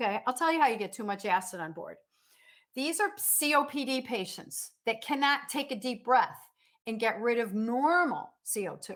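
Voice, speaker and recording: A loud, animated woman's voice, high-pitched, with very wide pitch swings. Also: moderate pace. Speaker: nursing instructor. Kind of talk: lecture. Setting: online class from home dining room.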